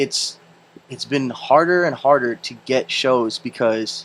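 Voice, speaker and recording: A man at medium pitch, fairly slow in pace. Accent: Filipino. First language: Filipino language. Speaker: podcast host and DJ. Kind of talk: casual chat.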